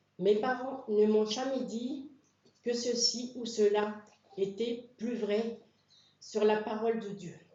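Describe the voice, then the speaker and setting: At a very slow pace with long, frequent pauses, a woman speaks at a fairly high pitch with fairly even intonation and big swings in loudness, amid audible room echo. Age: 60s. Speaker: church member being baptized. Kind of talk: testimony.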